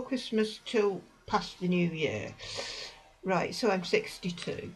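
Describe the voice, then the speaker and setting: In a British accent, a woman speaks at a very slow pace with lively intonation. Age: 60s. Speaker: vlogger. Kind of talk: personal advice talk. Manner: hesitant.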